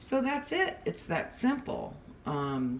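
Light background noise sits behind a woman speaking with an American accent. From California. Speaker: home cook vlogger. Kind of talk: cooking tutorial; tutorial. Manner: casual, halting with frequent fillers. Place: kitchen. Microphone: phone near.

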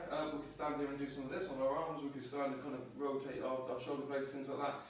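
Strong room echo fills the recording, along with light background noise. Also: man. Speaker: fitness trainer. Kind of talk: tutorial. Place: home room. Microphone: camera far.

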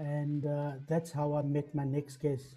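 He speaks at a very slow pace, his fairly high pitch carried on a dark, mellow tone. The man's voice is somewhat breathy. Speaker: TV production professional, interviewer. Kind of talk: interview host questions.

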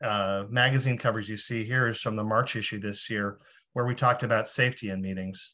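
Male voice with a bright, sharp tone and monotone, flat intonation. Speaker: nonprofit executive director. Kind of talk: panel presentation. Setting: video call. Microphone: video call.

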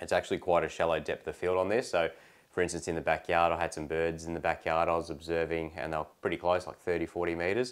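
A man's very deep, low voice over a quiet background. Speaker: product reviewer. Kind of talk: casual product review. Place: home room.

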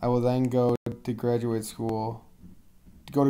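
In a medium pitch, a man talks with a dark, mellow tone and monotone, flat intonation. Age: 20s. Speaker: student athlete. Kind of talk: self-introduction presentation.

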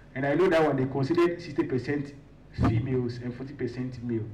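The man's voice is medium in pitch and somewhat breathy. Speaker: student leader and climate activist. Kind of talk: announcements at a conference. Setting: stage with audience.

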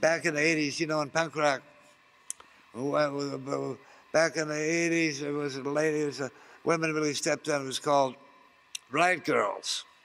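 A man talks at a moderate pace with a fairly high pitch. His intonation is monotone and flat, with long, frequent pauses. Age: 70s. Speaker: counterculture activist and radio host; radio host. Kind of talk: interview. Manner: rambling, halting. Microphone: handheld.

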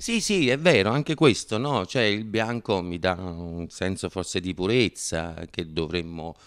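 A man with very wide pitch swings against a quiet background. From Naples, Italy. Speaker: actor and comedian. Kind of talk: interview answer. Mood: relaxed, reflective. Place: studio. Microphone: handheld.

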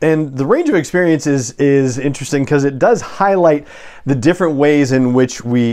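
Here a man talks at a fairly quick pace. His intonation is lively over a quiet background. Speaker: podcast host. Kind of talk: casual vlog chat. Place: home room. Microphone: lapel.

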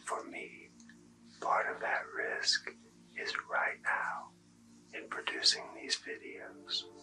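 A man's whispering at a very slow pace, with long, frequent pauses. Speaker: ASMR Reiki practitioner and academic. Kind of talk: ASMR Reiki healing session. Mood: calm, soothing. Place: home room.

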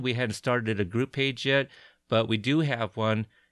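Recorded very cleanly, dry and close with no echo against a silent background, a man with a plain, everyday voice speaks at a medium pitch and a moderate pace. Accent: American. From Portland, Oregon. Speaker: podcast host, army veteran. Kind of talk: casual interview.

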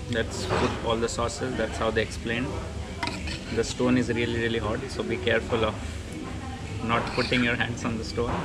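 Loud background noise under a man speaking at a moderate pace. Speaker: food vlogger. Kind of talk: casual vlog chat. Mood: relaxed, pleased. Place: cafe. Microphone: phone near.

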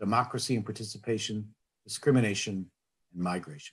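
Against a quiet background, a somewhat breathy man talks at a moderate pace with ordinary pitch variation. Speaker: conference host. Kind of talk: formal welcome speech. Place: home room. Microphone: webcam.

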